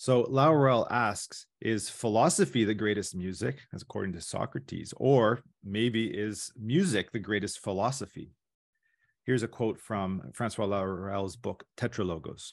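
In an ordinary speaking voice, a man talks at a moderate pace and fairly low pitch with ordinary pitch variation against a quiet background. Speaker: presenter. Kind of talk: academic paper presentation. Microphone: video call.

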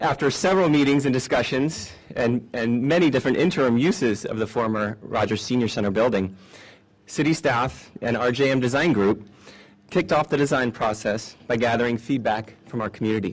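This man's pitch moves in an ordinary way. His delivery runs fairly quickly. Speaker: city parks and library department director. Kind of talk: ceremonial public speech. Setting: outdoors at a park ceremony. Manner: enthusiastic. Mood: formal, appreciative. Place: street. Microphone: podium.

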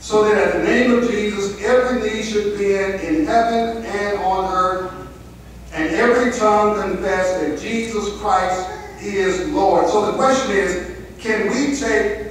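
With strong room echo and light background noise, a man speaks at a high pitch and a fairly slow pace, with ordinary pitch variation. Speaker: preacher. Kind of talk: sermon. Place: church.

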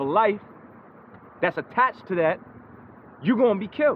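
A man speaks with noticeable noise present in the background. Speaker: street preacher. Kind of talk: sermon.

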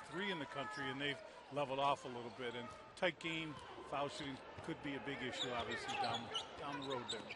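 A man speaks very fast with a fairly high pitch, noticeable background noise audible behind him. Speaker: color commentator, analyst. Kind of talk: live sports commentary, analyst color talk. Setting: arena broadcast. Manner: conversational, explanatory, measured, informal analyst.

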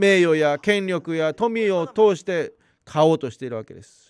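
A man speaks with a Korean accent. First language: Korean (speaking Japanese). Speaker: pastor. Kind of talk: sermon.

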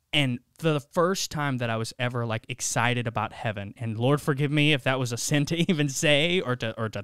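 A man speaks at a moderate pace with ordinary pitch variation, the sound dry with no echo over a quiet background. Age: 20s. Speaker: youth podcast host. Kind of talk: casual chat. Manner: animated. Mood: earnest, reflective faith talk. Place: studio. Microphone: studio mic.

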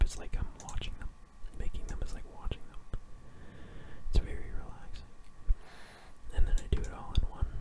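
Whispering at a fairly quick pace, a man shows big swings in loudness and long, frequent pauses over noticeable background noise. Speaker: ASMR gaming YouTuber. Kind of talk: casual talk to camera. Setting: home recording with keyboard sounds.

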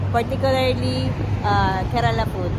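Against loud background noise, a woman talks at a fairly slow pace. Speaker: food vlogger. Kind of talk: casual vlog chat. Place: street. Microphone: phone near.

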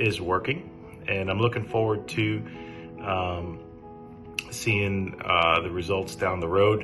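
Over clear background music, a man talks fairly slowly in a very deep, low pitch with ordinary pitch variation. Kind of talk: testimonial. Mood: calm, grateful. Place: home room. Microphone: phone near.

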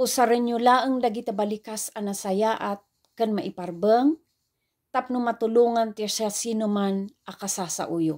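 A woman with a fairly high pitch and ordinary pitch variation, at a fairly slow pace against a quiet background. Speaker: preacher. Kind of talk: sermon. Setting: online video. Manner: formal; earnest. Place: home room. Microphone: phone near.

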